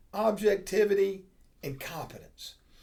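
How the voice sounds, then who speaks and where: A man speaks at a moderate pace in a high voice with a dark, mellow tone and very wide pitch swings, set against audible room echo. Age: 60s. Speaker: accounting professor. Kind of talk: lecture. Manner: casual, conversational.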